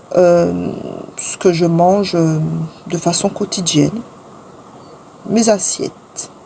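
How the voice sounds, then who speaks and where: Amid noticeable background noise, a woman talks in a fairly low pitch at a very slow pace. Her intonation stays fairly even, with long, frequent pauses. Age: 40s. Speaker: lifestyle vlogger. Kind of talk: vlog narration. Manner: hesitant with many fillers.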